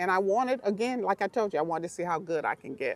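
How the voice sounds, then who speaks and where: A woman with a slight Southern US accent talks at a medium pitch with lively intonation. The sound is dry and close, with no echo. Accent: slight Southern twang. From Miami, Florida. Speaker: pro golfer and youth golf coach. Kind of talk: casual talk to camera. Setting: outdoors in the sun.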